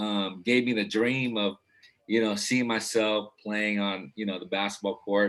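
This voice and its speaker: An unremarkable speaking voice belongs to a man with a fairly low pitch and fairly even intonation. He goes at a moderate pace. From Philippines, raised in Los Angeles from age 8. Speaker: basketball coach. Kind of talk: casual interview chat.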